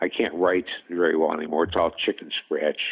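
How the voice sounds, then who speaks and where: Very deep and low, a man's voice carries the clip. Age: 60s. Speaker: patient with rare disease. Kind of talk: interview. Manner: hesitant, many fillers.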